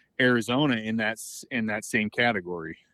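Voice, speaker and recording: In an ordinary speaking voice, a man with an American accent talks at a fairly low pitch with fairly even intonation, the sound dry and close with no echo and the background quiet. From Northern California. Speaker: bear hunter. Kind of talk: interview.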